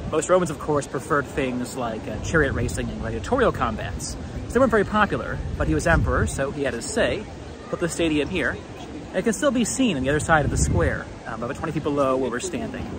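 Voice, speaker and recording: A man speaks very fast in a dry recording with no echo, with crowd noise in the background. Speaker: history video host. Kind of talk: walking tour commentary. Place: street. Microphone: phone near.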